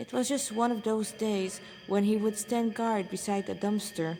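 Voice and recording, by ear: At a moderate pace, a woman speaks in a dark, mellow tone with a medium pitch and ordinary pitch variation.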